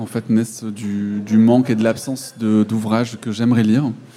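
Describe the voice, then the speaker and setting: A man at medium pitch and a fairly slow pace amid noticeable background noise. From France. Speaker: author and illustrator. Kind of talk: interview.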